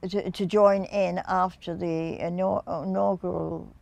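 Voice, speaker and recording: Against a quiet background, a woman talks with a southern English accent. Her pace is very slow. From England, Reading, Berkshire. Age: 80s+. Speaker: dance teacher. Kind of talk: interview answer.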